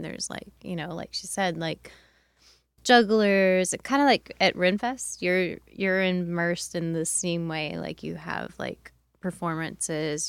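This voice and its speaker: A woman speaks with an unremarkable speaking voice at a fairly low pitch. Her fairly slow delivery comes through on a very clean recording with a silent background. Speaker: arts event organizer. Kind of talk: casual chat. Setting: studio.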